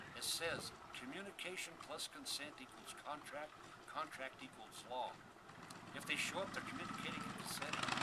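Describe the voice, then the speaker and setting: A man's fairly quick speech with ordinary pitch variation, audible room echo and noticeable background noise. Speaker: castle builder. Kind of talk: rant. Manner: loud; repetitive stammering.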